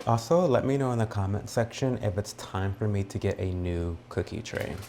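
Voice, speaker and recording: A soft-spoken man talks at a moderate pace with a fairly low pitch and ordinary pitch variation. Noticeable background noise sits behind him. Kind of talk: ASMR baking tutorial.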